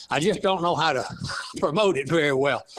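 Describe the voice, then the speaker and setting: The speaker has a strong East Texas accent. Pitch varies in an ordinary way. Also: man. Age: 80s+. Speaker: author, retired lab scientist. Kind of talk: interview. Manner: halting.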